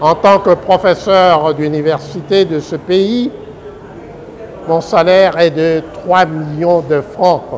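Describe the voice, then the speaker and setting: A man with a high pitch and ordinary pitch variation, at a very slow pace, over noticeable background noise. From DR Congo. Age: 70s. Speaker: presidential candidate and law professor. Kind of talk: political statement to the public.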